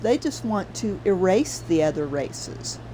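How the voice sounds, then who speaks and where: Noticeable background noise surrounds the recording. A woman speaks at a fairly slow pace. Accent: American. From US South. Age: 60s. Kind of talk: casual livestream commentary. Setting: livestream. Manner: animated.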